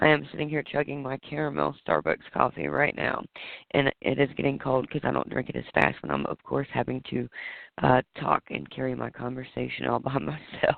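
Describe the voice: A man puts on a raspy character voice. He talks at a fairly quick pace.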